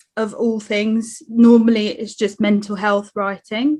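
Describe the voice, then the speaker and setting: A woman with a slight South London accent speaks at a fairly high pitch. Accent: slight South London twang. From South East London. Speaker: bartender and writer. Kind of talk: self-introduction on panel. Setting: online webinar.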